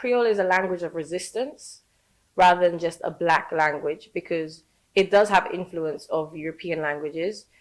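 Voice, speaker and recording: A woman speaks with a London accent at a fairly low pitch. Her pace is moderate, with ordinary pitch variation. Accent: British (London). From born in Saint Lucia, raised in London. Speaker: educator teaching Creole. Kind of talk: podcast interview answer.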